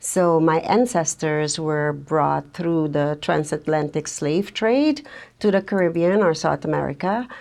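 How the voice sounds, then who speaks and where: Speaking at a fairly slow pace with very even loudness, a woman with a very deep, low pitch shows ordinary pitch variation. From Suriname. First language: Dutch. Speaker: social worker and counsellor. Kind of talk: interview.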